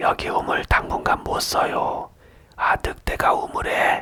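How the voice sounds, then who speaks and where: Whispering in a raspy, put-on character voice, a man speaks at a fairly slow pace. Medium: read story. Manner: scolding, indignant.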